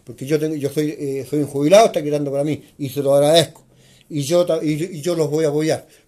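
In a dark, mellow tone, a man speaks at a very fast pace. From Chile, northern nitrate pampas. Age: 70s. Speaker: neighborhood association leader. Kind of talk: interview. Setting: neighborhood association office.

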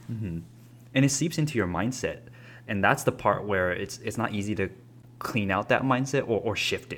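Using a plain, everyday voice, a man talks at a moderate pace with medium pitch and ordinary pitch variation. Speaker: podcast host. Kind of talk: casual chat.

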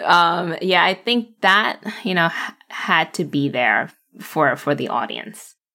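A woman talks very slowly in a fairly low pitch, with vocal fry and a bright, sharp tone. Her intonation is lively and her tone playful. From New York City. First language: not English (English is third language). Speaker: baker and social media creator. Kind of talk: casual interview chat. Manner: laughs often, playful.

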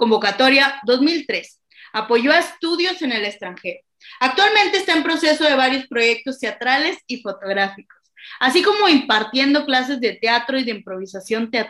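At a moderate pace, a woman talks with a high pitch that makes very wide swings. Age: 20s. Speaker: podcast co-host, theatre student. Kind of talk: casual chat; reading aloud. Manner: halting, many fillers.

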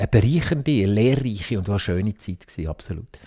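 A man with a Fribourg accent speaks fairly quickly at a fairly low pitch, somewhat breathy, in a very clean recording with a silent background and a dry, close sound with no echo. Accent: Sense German (Fribourg Swiss German dialect). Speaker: politician and IT entrepreneur. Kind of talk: interview. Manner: halting, many fillers and restarts.

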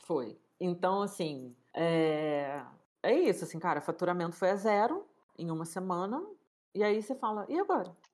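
In a plain, everyday voice of medium pitch, a woman speaks at a moderate pace with lively intonation on a very clean recording with a silent background. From Rio de Janeiro, Brazil. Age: 30s. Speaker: cook and food entrepreneur. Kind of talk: casual interview chat.

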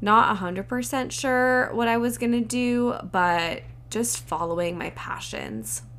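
Audible room echo surrounds the speaker. A woman talks at a very slow pace in an American accent. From Southern California. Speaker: podcast host, medical student. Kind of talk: casual solo talk.

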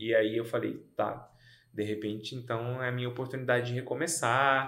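In a room with audible echo, a man speaks at a moderate pace and medium pitch. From Goiânia, Brazil. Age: 30s. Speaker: podcast co-host. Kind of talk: casual chat.

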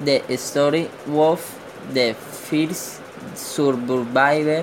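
Speaking with a Colombian accent, a man goes at a very slow pace with fairly even intonation. Noticeable background noise is present. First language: Spanish. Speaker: podcaster. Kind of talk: news reading.

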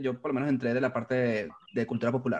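Against a quiet background, a man talks with a Venezuelan accent. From Venezuela, Valencia (Carabobo). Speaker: graphic designer. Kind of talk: casual interview.

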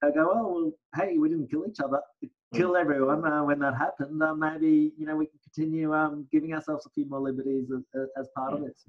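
Delivered at a very fast pace with an Australian accent, the speech keeps a fairly even intonation. Its loudness swings widely. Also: man. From Australia, Brisbane. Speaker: lawyer. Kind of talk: casual interview. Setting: video call.

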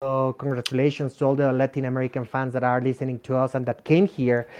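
This man has a Spanish accent and a medium pitch. His tone is dark and mellow. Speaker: anime fan community expert. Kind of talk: casual chat.

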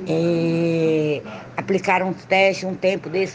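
A woman speaks with a fairly low pitch. There is noticeable background noise. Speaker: traffic psychologist. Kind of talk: interview. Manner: halting.

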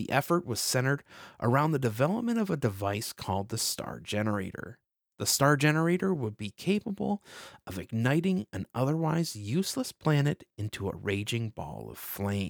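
In a dramatic, solemn tone, a man speaks at a moderate pace with very wide pitch swings, the sound dry and close with no echo. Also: medium pitch for a man. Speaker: podcast host. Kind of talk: scripted narration in the style of a retro game intro, read aloud. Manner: dramatic, solemn, measured storytelling pace.

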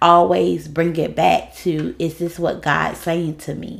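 A woman talks with vocal fry and fairly even intonation. The recording is very clean, with a silent background. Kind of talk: casual chat podcast.

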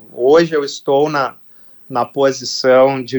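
A man speaks at a very slow pace in a monotone, flat intonation. The sound is dry and close, with no echo. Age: 40s. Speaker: football club executive. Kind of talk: radio interview. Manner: halting, with repetitions.

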